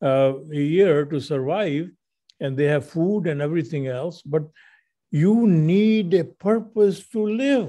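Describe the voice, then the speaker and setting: Speaking very slowly, a man with a fairly high pitch has a dark, mellow tone. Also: lively intonation, quiet background. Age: 80s+. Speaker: radio show host. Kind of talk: casual chat.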